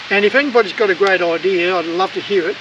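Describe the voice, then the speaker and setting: A very fast pace over noticeable background noise. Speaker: travel vlogger. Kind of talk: casual tutorial. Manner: hesitant, many fillers; loud.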